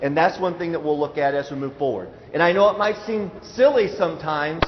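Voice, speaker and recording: This man's pitch is high and his intonation lively as he talks at a fairly quick pace. Noticeable background noise runs under the recording. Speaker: school math presenter. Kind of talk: presentation to parents. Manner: fast; hesitant fillers.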